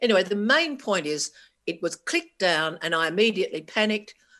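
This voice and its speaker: Lively intonation and an Australian accent come through at a moderate pace on a very clean recording with a silent background. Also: woman. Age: 60s. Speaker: keynote speaker, cancer survivor, journalist. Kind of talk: conference keynote talk. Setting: stage with audience.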